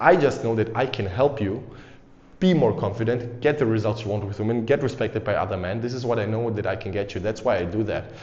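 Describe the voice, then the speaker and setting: In an energetic tone, a man speaks at a medium pitch and a fairly quick pace, with noticeable background noise and audible room echo. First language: not English. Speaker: dating and confidence coach, YouTuber. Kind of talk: motivational talk to camera. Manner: casual, energetic.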